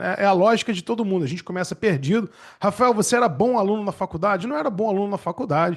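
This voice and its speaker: A man speaks at a very fast pace with a Rio de Janeiro accent. His voice sits high in pitch. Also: ordinary pitch variation. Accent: Rio de Janeiro (carioca). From Rio de Janeiro, Brazil. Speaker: public defender and exam-prep teacher. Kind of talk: webinar talk. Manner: casual, conversational.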